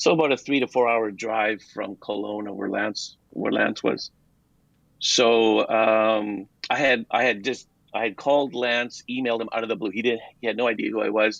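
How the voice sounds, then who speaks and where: A man speaks at a moderate pace with a Canadian accent. He has an unremarkable speaking voice. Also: medium pitch for a man. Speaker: game developer. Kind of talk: casual chat.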